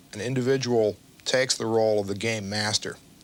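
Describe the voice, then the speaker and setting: A man with an American accent talks at a fairly slow pace and medium pitch, with ordinary pitch variation. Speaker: game designer. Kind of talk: interview answer.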